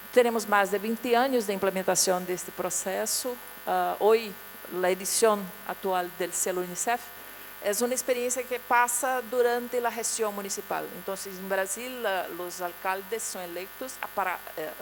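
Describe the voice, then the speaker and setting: A woman with a Portuguese accent at a moderate pace, big swings in loudness, noticeable background noise. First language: Portuguese (speaking Spanish). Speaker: international agency official. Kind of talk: conference presentation. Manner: halting.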